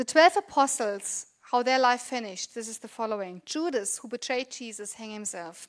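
Lively intonation in a German accent, a fairly quick pace, and a dry, close sound with no echo on a very clean recording with a silent background. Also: woman. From Germany. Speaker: pastor. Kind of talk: sermon. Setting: church.

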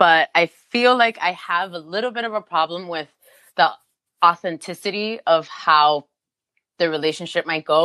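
A woman's bright, sharp tone sits at a fairly low pitch with ordinary variation, in a dry, close sound with no echo. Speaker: podcast co-host. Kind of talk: casual chat.

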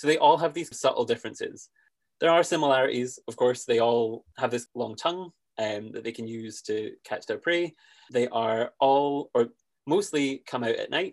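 A man's medium-pitched voice with a Scottish accent and ordinary pitch variation. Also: moderate pace, quiet background. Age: 20s. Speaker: conservationist and podcast host. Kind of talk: casual interview chat.

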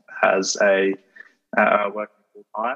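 A man with an Australian accent. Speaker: podcast host. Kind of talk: casual interview. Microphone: dodgy audio from internet connection.

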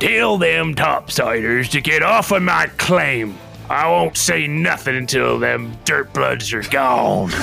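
Gruff and growling, this put-on character voice moves at a fairly slow pace over clear background music. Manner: growling, hostile.

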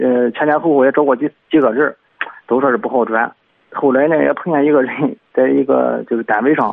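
A man with a plain, everyday voice speaks at a fairly high pitch. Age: 30s. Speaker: parent caller. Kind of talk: call-in advice. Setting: phone call.

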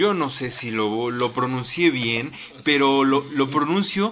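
A man with a medium pitch and a bright, sharp tone speaks very slowly, his intonation lively. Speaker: radio host. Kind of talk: radio talk show.

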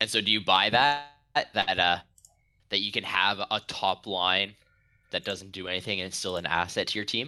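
A man speaks with a very deep, low pitch and a bright, sharp tone. He leaves long, frequent pauses. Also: ordinary pitch variation, moderate pace. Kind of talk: casual chat. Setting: remote call across time zones.

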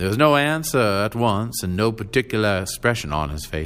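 The intonation is lively as the text is read aloud in a natural voice.

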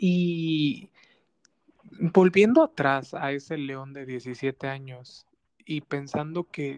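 The sound is dry and close, with no echo. A man speaks at a fairly high pitch with ordinary pitch variation. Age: 30s. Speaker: podcast host. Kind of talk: interview.

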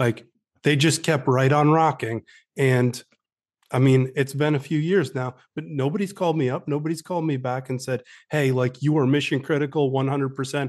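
A man with an American accent has a plain, everyday voice at a fairly high pitch. He speaks at a moderate pace with fairly even intonation over a quiet background. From upstate New York. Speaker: author and army veteran. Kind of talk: interview.

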